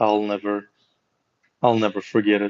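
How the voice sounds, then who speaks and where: A man with a slight Russian accent, fairly low in pitch and fairly slow in pace, in a dry, close sound with no echo. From Russia, St. Petersburg. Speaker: hockey player and streamer. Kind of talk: casual live stream chat.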